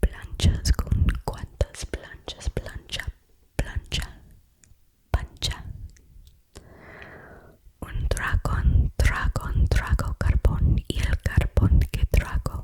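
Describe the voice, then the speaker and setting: In a gentle-toned whisper, the speaker goes at a very slow pace with long, frequent pauses. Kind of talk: Spanish tongue twisters. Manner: whispered; soft, slow, gentle.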